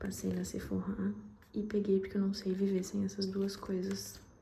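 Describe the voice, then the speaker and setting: With audible room echo, a woman talks at a moderate pace and a medium pitch. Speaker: vlogger. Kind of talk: casual vlog talk to camera.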